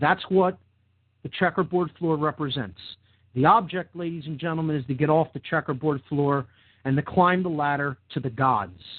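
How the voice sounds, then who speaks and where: A man with an American accent speaks at a moderate pace in a passionate tone. His voice is fairly high, with ordinary pitch variation. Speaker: podcast host. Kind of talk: monologue lecture. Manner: loud and forceful; passionate, emotional.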